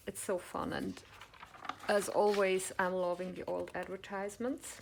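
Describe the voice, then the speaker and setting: There's noticeable background noise as a woman talks at a moderate pace and medium pitch. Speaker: crafts vlogger and online shop owner. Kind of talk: show-and-tell haul video. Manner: enthusiastic.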